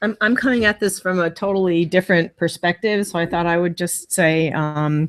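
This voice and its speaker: A woman with an American accent speaks at a moderate pace with hardly any pauses. Her pitch is fairly low, with ordinary variation. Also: dry, close sound with no echo. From New York, Tarrytown. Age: 60s. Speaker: family friend at a memorial. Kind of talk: memorial remembrance speech. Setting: memorial gathering in a temple, streamed. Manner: halting, many fillers.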